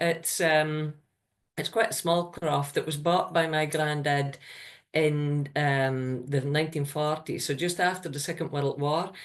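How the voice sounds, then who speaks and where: A woman speaks in a Shetland accent at a very slow pace. Her voice sits at a very deep, low pitch. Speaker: crofter. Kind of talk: online presentation. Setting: video call.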